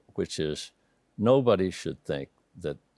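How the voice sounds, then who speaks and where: Speaking with an American accent, a man moves at a fairly slow pace with very wide pitch swings, in a dry, close sound with no echo. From Texas, Amarillo (Panhandle). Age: 70s. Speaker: housing developer. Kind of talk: interview conversation.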